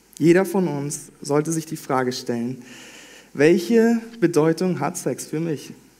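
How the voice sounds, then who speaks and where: Over noticeable background noise, a man talks at a fairly slow pace and fairly high pitch, with ordinary pitch variation. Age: 20s. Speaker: trainee pastor. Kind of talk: sermon.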